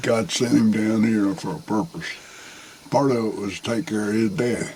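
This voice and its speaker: Against noticeable background noise, a man with a Southern US accent talks at a medium pitch and a moderate pace with ordinary pitch variation. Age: 60s. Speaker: hunter, father of the channel owner. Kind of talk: casual chat. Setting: outdoors.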